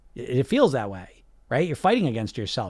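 On a very clean recording with a silent background, a man speaks with an American accent. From US. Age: 40s. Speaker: weight loss coach and podcast host. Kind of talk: live-streamed chat with viewer comments.

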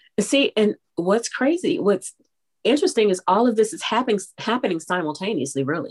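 A woman speaks at a fairly quick pace in a fairly high pitch, her voice making very wide pitch swings. The sound is dry and close, with no echo. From Texas. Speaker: voiceover artist and radio personality. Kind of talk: interview conversation.

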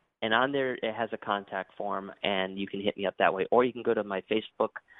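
At a moderate pace, a man with an American accent talks in a normal speaking voice with a fairly low pitch. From Connecticut, then Florida from 1990. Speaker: podcast host and interview guest. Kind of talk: interview.

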